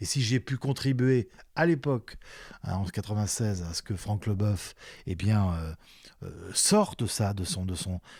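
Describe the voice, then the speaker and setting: Fairly slow, somewhat breathy speech from a man, with ordinary pitch variation, on a very clean recording with a silent background. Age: 60s. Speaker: retired sports journalist and commentator. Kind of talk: interview conversation. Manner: halting, with many repetitions and fillers.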